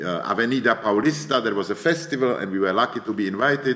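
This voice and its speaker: Lively intonation in a voice with a Czech accent. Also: man. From Czech Republic, Prague. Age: 60s. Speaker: media artist and professor. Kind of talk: lecture.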